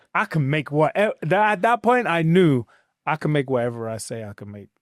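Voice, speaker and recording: Recorded very cleanly against a silent background, a man with a London accent speaks at a moderate pace, the sound dry and close with no echo. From England, South London. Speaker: realtor. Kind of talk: interview.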